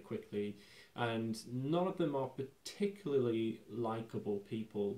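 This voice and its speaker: A man with a dark, mellow tone is heard with audible room echo. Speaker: film commentator. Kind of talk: commentary. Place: home room.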